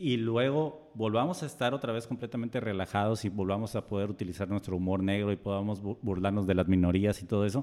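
Speaking at a fairly quick pace, a man has a normal speaking voice at a medium pitch. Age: 30s. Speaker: podcast co-host. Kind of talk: casual chat. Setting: recorded on camera.

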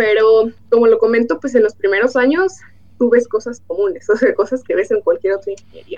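Lively intonation and moderate pacing from a woman with a high voice. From Mexico, Michoacán. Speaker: materials engineer. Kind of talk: interview.

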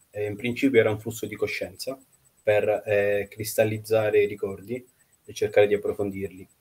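A man at a fairly quick pace, with long, frequent pauses and big swings in loudness. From Russia, Nizhny Novgorod, then Italy. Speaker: novelist. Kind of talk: interview.

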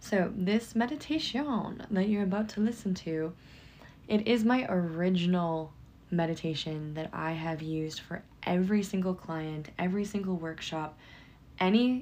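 An ordinary speaking voice from a woman, medium-pitched, at a moderate pace with ordinary pitch variation. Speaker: psychic medium and hypnotherapist. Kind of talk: guided meditation; casual chat intro. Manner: calm, hypnotic, flowing.

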